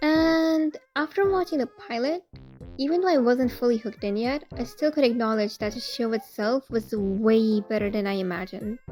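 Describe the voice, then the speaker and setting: Over music in the background, a woman talks at a moderate pace in a high voice, her pitch swinging very widely. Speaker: video essayist / fan commentator. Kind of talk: casual commentary monologue. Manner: casual, chatty.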